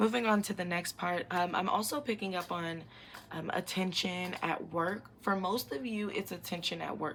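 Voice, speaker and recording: A woman's unremarkable speaking voice, medium in pitch, moderate in pace, with ordinary pitch variation. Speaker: psychic tarot reader. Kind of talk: pick-a-card tarot reading. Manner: casual, many fillers.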